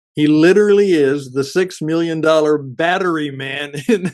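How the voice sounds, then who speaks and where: A man's fairly high voice, fairly slow in pace, with ordinary pitch variation against a quiet background. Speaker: radio broadcaster and podcast producer. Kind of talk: podcast introduction / radio-style promo.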